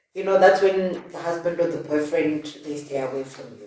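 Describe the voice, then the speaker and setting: Audible room echo accompanies a woman speaking with a fairly low pitch. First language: not English. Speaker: podcast host. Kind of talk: casual chat. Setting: live stream.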